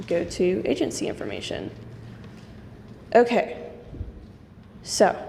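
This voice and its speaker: A woman speaking at a fairly slow pace, with long, frequent pauses and audible room echo. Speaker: nonprofit staff member. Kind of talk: software tutorial demonstration.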